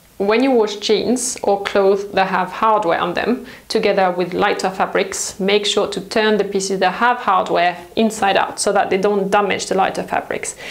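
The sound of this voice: A woman speaks at a moderate pace with few pauses and vocal fry. Her intonation is fairly even, and room echo is audible. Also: medium pitch for a woman.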